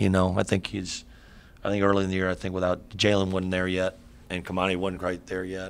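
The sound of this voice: At a fairly quick pace, a man speaks in a low pitch. His intonation stays monotone and flat.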